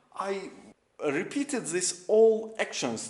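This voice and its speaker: With audible room echo and noticeable background noise, a man speaks at a fairly slow pace. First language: not English. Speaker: restoration YouTuber. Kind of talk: show-and-tell video walkthrough. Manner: halting, many fillers.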